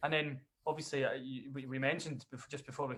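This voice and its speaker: A man with a Dundee accent speaks at a fairly quick pace. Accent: Scottish (Dundee). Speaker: bagpiper and singer-songwriter. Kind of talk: casual interview chat.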